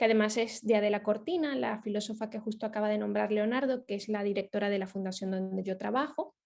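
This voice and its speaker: Very fast and with hardly any pauses, a woman speaks. Her pitch is fairly high, with ordinary variation. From Venezuela. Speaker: ethics foundation project manager. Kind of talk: lecture. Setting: video call. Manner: hesitant, many fillers.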